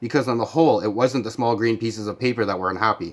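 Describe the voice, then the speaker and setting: On a very clean recording with a silent background, a man speaks very fast. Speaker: amateur audiobook reader. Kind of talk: reading aloud. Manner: stammering.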